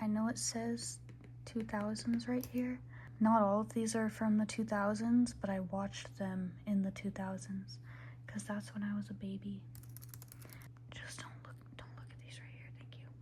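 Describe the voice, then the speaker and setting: A woman speaks softly. Her loudness swings widely. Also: moderate pace. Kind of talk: ASMR ramble to camera. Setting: ASMR recording with tapping sounds. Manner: soft-spoken, casual, chatty.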